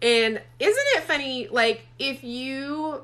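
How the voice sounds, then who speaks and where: A woman speaks with a Southern US accent. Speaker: romance author. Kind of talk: casual livestream chat. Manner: chatty, many fillers.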